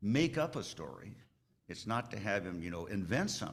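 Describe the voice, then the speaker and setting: A man talks at a fairly quick pace with a fairly low pitch and lively intonation. Audible room echo surrounds his voice. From Alaska. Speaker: aviation lawyer. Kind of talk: conference talk. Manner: conversational, halting.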